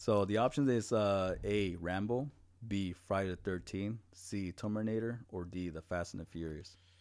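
On a very clean recording with a silent background, a man speaks at a fairly low pitch with a Spanish accent. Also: ordinary pitch variation, moderate pace. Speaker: podcast co-host. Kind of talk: casual chat. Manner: animated.

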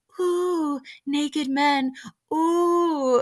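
A put-on character voice that sounds female. The pitch sits high. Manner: mock-scandalized, holier than thou.

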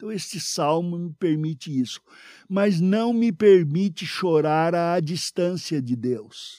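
Over a silent background in a very clean recording, a man speaks very slowly in a high pitch with a dark, mellow tone and ordinary pitch variation. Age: old. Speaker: pastor. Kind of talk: sermon.

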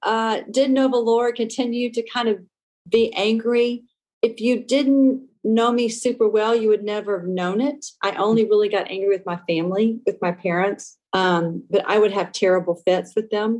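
At a fairly slow pace, a woman with an American accent talks in a fairly high pitch with fairly even intonation. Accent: Southern US, Cajun-tinged. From Louisiana, US South. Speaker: testimony guest, nonprofit trustee and youth leader. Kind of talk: testimony, casual interview. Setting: phone call.

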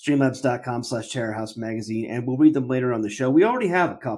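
In a very clean recording with a silent background, a man with an unremarkable speaking voice talks at a fairly quick pace and a medium pitch, with ordinary pitch variation. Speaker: podcast host. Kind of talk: casual banter podcast.

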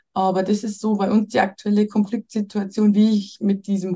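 A woman speaks with a dark, mellow tone and a somewhat breathy quality. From Bavaria. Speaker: mother seeking family advice. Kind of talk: coaching conversation.

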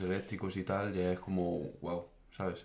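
A man's very deep, low voice in a monotone, flat intonation. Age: 20s. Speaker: engineering student. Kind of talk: casual chat.

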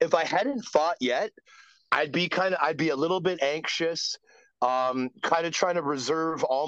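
A man speaks in a plain, everyday voice at a fairly high pitch with ordinary pitch variation. He keeps a moderate pace, and the sound is dry and close with no echo. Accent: Canadian. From Canada (Ontario). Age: 40s. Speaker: former professional hockey player. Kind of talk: casual interview.

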